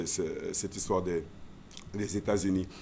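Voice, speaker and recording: Over light background noise, a man talks with a dark, mellow tone. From Côte d'Ivoire, Abidjan (Adjamé); Côte d'Ivoire. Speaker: former radio and TV presenter; former radio, TV presenter. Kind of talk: interview. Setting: studio. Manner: halting, many repetitions. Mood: relaxed, reminiscing. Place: studio. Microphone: studio mic.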